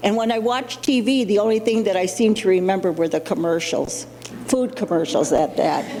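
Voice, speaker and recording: Over noticeable background noise, a woman of medium pitch talks at a fairly quick pace with ordinary pitch variation and very even loudness. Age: 60s. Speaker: person living with Alzheimer's, summit speaker. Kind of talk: personal testimony. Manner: halting, with fillers.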